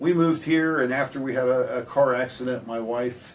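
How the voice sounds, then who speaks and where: Using an ordinary speaking voice, a man talks at medium pitch with fairly even intonation. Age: 60s. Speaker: heating and air business owner. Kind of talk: radio interview. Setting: radio studio.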